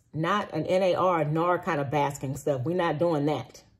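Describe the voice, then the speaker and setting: A woman speaks at a fairly slow pace. Her voice is somewhat breathy and fairly low in pitch. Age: 40s. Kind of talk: personal testimony monologue. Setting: recorded after a walk, solo video. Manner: casual, with frequent fillers and restarts. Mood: earnest, animated. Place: home room. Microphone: phone near.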